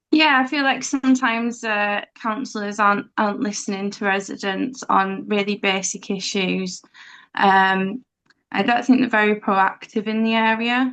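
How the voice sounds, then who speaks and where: With a Leeds accent, a woman speaks at a fairly high pitch with fairly even intonation. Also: moderate pace. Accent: Leeds Yorkshire. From Leeds, northern England. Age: adult, parent. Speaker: election candidate. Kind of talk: hustings answer.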